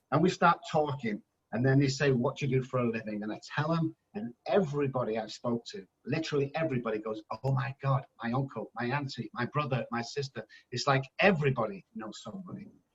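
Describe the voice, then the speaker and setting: With an English accent, a man speaks at medium pitch in an animated tone with lively intonation. The sound is dry and close, with no echo. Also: fairly quick pace. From England. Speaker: addiction specialist. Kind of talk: podcast interview. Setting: phone call.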